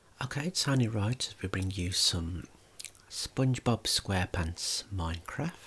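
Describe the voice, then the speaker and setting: The voice is soft-spoken and moves at a fairly slow pace. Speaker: gaming ASMR creator. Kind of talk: ASMR gaming commentary.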